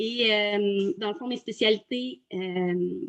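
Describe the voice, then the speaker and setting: Very slow pace, lively intonation and a Quebec accent. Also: woman. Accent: Québécois French. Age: 30s. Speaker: virtual assistant, former teacher. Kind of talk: testimony interview. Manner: halting, many hesitations.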